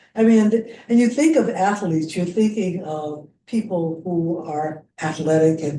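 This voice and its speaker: Fairly low-pitched female voice with an American accent, ordinary pitch variation and a fairly slow pace, plus audible room echo. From US Midwest, Missouri (Jefferson City). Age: 80s+. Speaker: senior athlete and businesswoman. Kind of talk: casual chat. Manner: halting.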